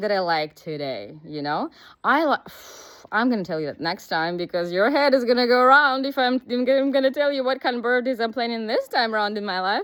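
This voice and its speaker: A woman talks at a fairly quick pace with a high pitch. Her voice moves in very wide pitch swings. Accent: Russian. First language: Russian. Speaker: business coach. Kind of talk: casual vlog monologue. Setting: outdoors, walking.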